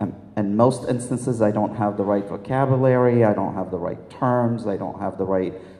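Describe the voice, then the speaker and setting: Amid noticeable background noise and audible room echo, a man with a medium pitch talks with fairly even intonation. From Lebanon. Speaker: health system executive and physician. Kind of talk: panel discussion.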